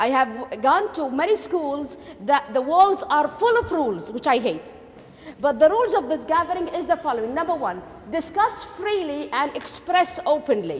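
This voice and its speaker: A woman's high-pitched voice with very wide pitch swings at a moderate pace, amid noticeable background noise. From Kuwait. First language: Arabic. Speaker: education lecturer. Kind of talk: lecture.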